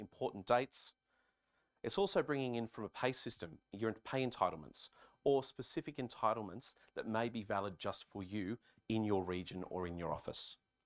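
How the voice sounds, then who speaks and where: A man with an Australian accent at a fairly quick pace, with ordinary pitch variation, in a very clean recording with a silent background and a dry, close sound with no echo. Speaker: conference speaker, software company staff. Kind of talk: keynote presentation.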